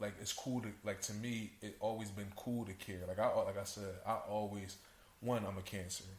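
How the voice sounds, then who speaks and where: A man talks at a moderate pace in a monotone, flat intonation, with long, frequent pauses. His voice is somewhat breathy, and room echo is audible. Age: 20s. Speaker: podcast guest. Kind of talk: casual chat.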